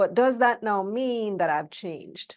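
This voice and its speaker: At a fairly slow pace, a woman with a Belizean accent speaks in a fairly high voice with very wide pitch swings, over a quiet background. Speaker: motivational speaker on wealth. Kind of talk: interview.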